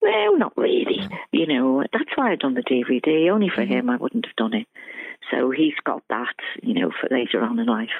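With a Liverpool accent, a woman speaks at a moderate pace in a very deep, low pitch that moves in very wide swings. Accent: Liverpool (Scouse). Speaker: former band secretary and fan club president. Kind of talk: interview.

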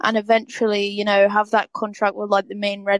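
Recorded with a dry, close sound and no echo, a woman with a British accent speaks at a medium pitch and a moderate pace. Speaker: fan asking a question. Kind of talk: Q&A question.

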